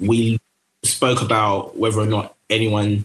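A man talks with a London accent. His voice is fairly low and somewhat breathy. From London, Tower Hamlets. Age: 20s. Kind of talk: casual chat.

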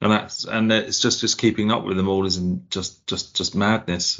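A man speaks with an Essex accent. His pace is moderate. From Essex, England. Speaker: IT worker, fantasy league manager. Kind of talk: casual chat. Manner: halting.

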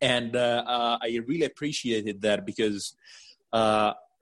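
With an Italian accent, a man speaks at a medium pitch. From Italy. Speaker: coaching client. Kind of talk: interview testimony. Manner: halting.

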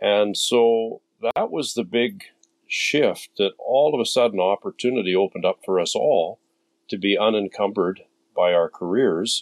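Dry and close with no echo, this very clean recording over a silent background has a man speaking at a moderate pace. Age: 60s. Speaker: sailor, former hotel owner. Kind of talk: casual chat.

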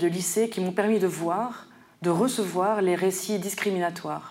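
Speaking fairly slowly, a woman uses an ordinary speaking voice at medium pitch with fairly even intonation. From Paris suburbs, France. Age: 40s. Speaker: poet. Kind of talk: literary presentation.

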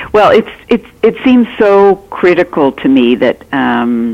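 Lively intonation marks this woman's speech in a Canadian accent. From Canada. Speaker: author. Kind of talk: interview conversation. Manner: halting, many fillers.

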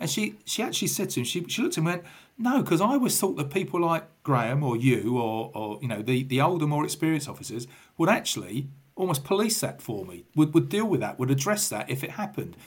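With a London accent and vocal fry, a man speaks at a very fast pace with a fairly high pitch, very wide pitch swings, and big swings in loudness. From England, southwest London. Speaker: retired police officer. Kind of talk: casual interview.

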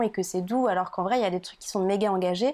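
A woman with an unremarkable speaking voice and fairly even intonation is heard in a very clean recording with a silent background. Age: 20s. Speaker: podcast guest. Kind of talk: casual chat.

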